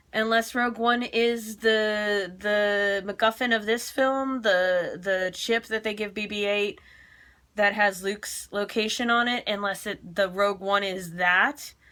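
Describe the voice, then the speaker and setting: A loud woman's voice at medium pitch, bright and sharp in tone, with fairly even intonation in a very clean recording with a silent background. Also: fairly slow pace. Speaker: film reaction vlogger. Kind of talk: casual vlog review. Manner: halting, many fillers.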